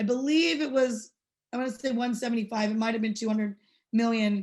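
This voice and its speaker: A somewhat breathy woman's voice, fairly high in pitch, at a moderate pace against a quiet background. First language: not English. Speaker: state legislator. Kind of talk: panel remarks. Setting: webinar. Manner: many fillers and false starts.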